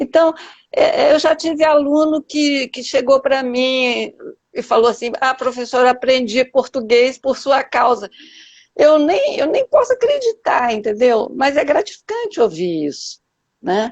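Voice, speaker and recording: A woman with a high voice speaks fairly slowly, her intonation lively. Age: 70s. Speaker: teacher and poet. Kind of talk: interview on a live stream.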